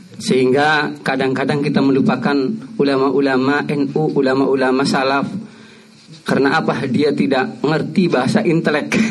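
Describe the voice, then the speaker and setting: There is audible room echo along with noticeable background noise. A man speaks with very even loudness and ordinary pitch variation. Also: fairly high pitch for a man, moderate pace. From Cirebon, West Java. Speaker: graduate student asking a question. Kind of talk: Q&A question at religious study session. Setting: mosque.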